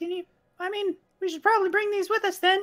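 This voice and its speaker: A put-on character voice, squeaky and extremely high, rattles along at a very fast pace in a monotone, flat delivery. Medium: actual play.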